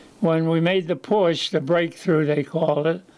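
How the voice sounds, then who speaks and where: A man with a Philadelphia accent speaks at a moderate pace. His voice is high-pitched, with fairly even intonation. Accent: Philadelphia-area American. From Chester, Pennsylvania. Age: 90s. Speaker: war veteran. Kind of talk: casual interview storytelling. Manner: halting.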